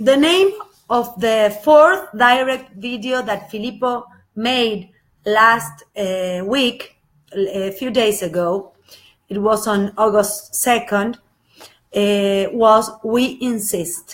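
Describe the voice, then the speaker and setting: A woman's fairly high voice in an Argentine accent, with ordinary pitch variation and a very slow pace. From Argentina, Buenos Aires. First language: Spanish. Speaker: spiritual channel presenter. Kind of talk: live video talk, partly read from notes. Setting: live Facebook video. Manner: halting, many filler sounds.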